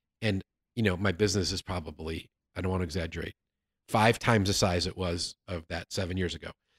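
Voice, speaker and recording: Very deep and low in pitch, a somewhat breathy man speaks at a very fast pace with fairly even intonation, his sound dry and close with no echo on a very clean recording with a silent background. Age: 50s. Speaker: sales consultant and author. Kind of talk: casual interview. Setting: studio, in person.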